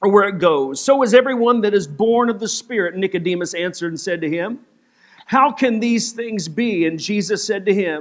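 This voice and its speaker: The background is quiet while a man talks at a moderate pace, his pitch moving in ordinary ways. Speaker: pastor. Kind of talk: sermon, reading scripture aloud. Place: church.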